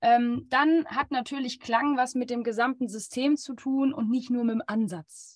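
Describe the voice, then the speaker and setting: Her pitch is high, with ordinary variation, as this woman speaks at a fairly slow pace. She hardly pauses at all. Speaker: flute teacher. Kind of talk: podcast intro and webinar excerpts.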